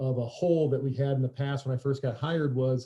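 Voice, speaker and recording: This man's somewhat breathy voice sits at a medium pitch. He talks at a very fast pace with monotone, flat intonation. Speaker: high school strength coach. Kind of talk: webinar presentation.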